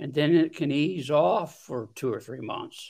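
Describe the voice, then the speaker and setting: Against a quiet background, a man talks with ordinary pitch variation in a US Midwestern accent. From Ohio, US Midwest. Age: 70s. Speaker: trauma survivor. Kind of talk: interview testimony. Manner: halting.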